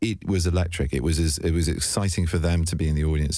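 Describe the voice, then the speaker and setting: A man talks at a very fast pace in a very deep, low pitch. His tone is dark and mellow, and somewhat breathy. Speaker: actor. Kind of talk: interview answer. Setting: radio studio.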